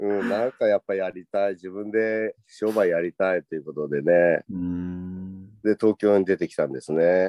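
An unremarkable speaking voice from a man, pitched fairly low, moving at a moderate pace and with ordinary pitch variation. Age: 50s. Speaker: takoyaki shop owner. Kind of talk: casual chat.

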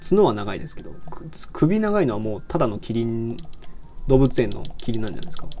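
Lively intonation marks a man's very fast speech, heard with audible room echo. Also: medium pitch for a man. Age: 20s. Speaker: livestreamer and university student. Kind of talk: casual livestream chat while gaming. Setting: live audio stream while playing a game. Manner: relaxed, laid-back.

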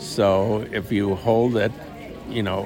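A man speaks at a fairly low pitch. Audible room echo and crowd noise fill the background. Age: 70s. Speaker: former FBI agent, life advice guest. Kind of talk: casual interview. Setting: outdoors at a coffee shop.

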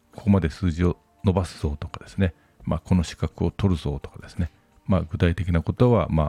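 Fairly quick delivery with ordinary pitch variation and big swings in loudness, music in the background, and a dry, close sound with no echo. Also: man. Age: 50s. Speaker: podcast host, author and business consultant. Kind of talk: casual monologue. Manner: frequent fillers.

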